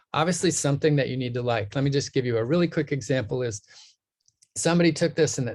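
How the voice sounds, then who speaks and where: Here a man talks at a very fast pace, somewhat breathy. His pitch is fairly high, with ordinary variation. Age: 60s. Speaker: nutrition scientist, professor. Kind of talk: interview.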